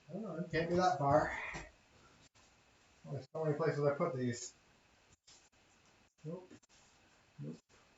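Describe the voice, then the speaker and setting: A man with a fairly high pitch mumbles at a moderate pace. His intonation is fairly even, with long, frequent pauses. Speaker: live spray paint artist. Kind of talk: live stream commentary while painting. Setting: shack. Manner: mumbling to himself.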